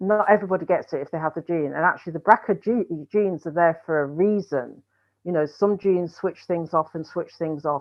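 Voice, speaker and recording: A woman's plain, everyday voice, fairly low in pitch, with fairly even intonation and a moderate pace. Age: 60s. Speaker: breast cancer survivor and charity founder. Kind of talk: panel discussion.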